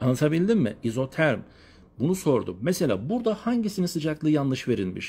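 Against a quiet background, a man with a fairly high voice speaks in an animated tone. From Turkey, Elazığ; Turkey. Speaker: geography teacher. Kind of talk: lecture. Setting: live stream from family home. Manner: fast. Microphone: phone near.

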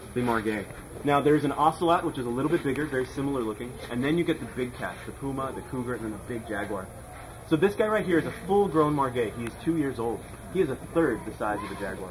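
A man rushes through his words at a very fast pace while noticeable background noise persists. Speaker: guide at the rescue center. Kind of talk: guided tour talk. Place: garden. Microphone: camera far.

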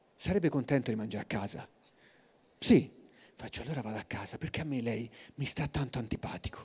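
Very fast and animated, a man talks with lively intonation and a somewhat breathy voice. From Tuscany, Forte dei Marmi; Tuscany. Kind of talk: storytelling talk. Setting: stage with audience. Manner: soft-spoken. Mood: humorous, lively. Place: stage. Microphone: handheld.

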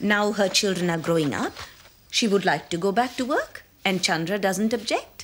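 Lively intonation and a fairly bright tone mark this woman's voice. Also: medium pitch for a woman, moderate pace.

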